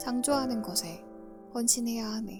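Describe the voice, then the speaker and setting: Background music can be heard. A woman talks over it. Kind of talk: audiobook reading. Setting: quiet recording with background music. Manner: soft-spoken.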